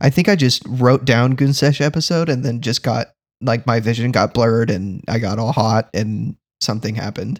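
An unremarkable speaking voice from a man, moderate in pace with ordinary pitch variation, dry and close with no echo in a very clean recording against a silent background. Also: medium pitch for a man. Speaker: guest co-host on a comedy podcast. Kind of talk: casual comedic banter.

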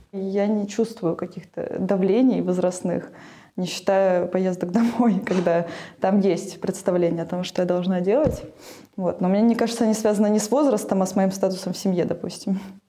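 Moderate pace from a woman at medium pitch, fairly even intonation, noticeable background noise behind her. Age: 20s. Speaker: sociologist. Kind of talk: interview.

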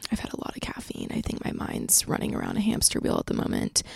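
Vocal fry runs through very fast speech, in a very clean recording with a silent background and a dry, close sound with no echo. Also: woman. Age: 20s. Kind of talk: casual solo monologue. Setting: home recording in a trailer, on camera.

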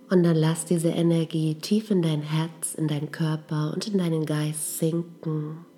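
A woman's very deep, low voice, gentle and calm in tone, at a fairly slow pace with hardly any pauses, flat monotone intonation, and music in the background. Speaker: meditation guide. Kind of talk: guided meditation. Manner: slow, calm, soothing; gentle, with long pauses.

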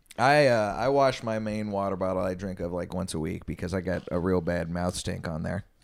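A man with a very deep, low pitch and an American accent, talking at a fairly quick pace with hardly any pauses, on a very clean recording with a silent background. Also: ordinary pitch variation. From Texas. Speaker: comedian. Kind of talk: casual chat.

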